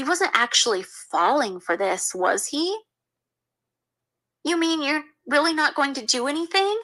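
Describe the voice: In a put-on character voice, a woman speaks high and bright with a sharp tone. Her intonation is lively and her pace fairly slow.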